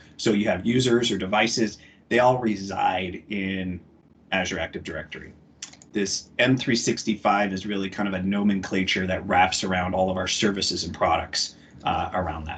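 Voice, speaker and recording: A man speaks at a moderate pace in a fairly low pitch, with a plain, everyday voice and fairly even intonation. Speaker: IT trainer presenter. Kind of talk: webinar tutorial.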